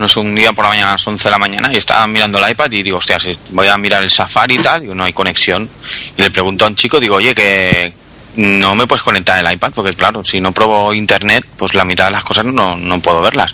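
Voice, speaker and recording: Amid noticeable background noise, a man rattles along at a very fast pace, his fairly low voice keeping fairly even intonation. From Barcelona, Spain. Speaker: podcaster. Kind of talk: casual group chat. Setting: online call.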